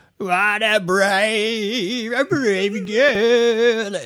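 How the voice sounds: This is a put-on character voice. It sits at a fairly high pitch.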